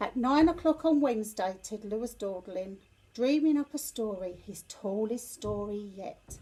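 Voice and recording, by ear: A woman talks at a medium pitch with a dark, mellow tone. Her pace is fairly slow and her intonation lively.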